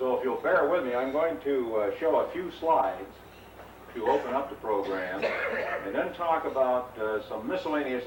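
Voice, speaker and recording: Speaking at a fairly quick pace, a man is heard over noticeable background noise with audible room echo. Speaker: technical trainer. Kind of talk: lecture. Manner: loud.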